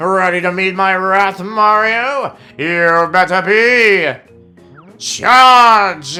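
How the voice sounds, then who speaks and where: With faint music in the background, a put-on character voice at a middle pitch moves at a very slow pace. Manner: boastful, threatening, put-on voice.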